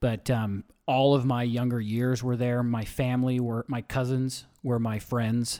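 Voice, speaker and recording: Over a silent background in a very clean recording, a man at medium pitch speaks in a flat monotone with hardly any pauses. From US West, small-town southern Utah. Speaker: event promoter and former gym owner. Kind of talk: casual interview.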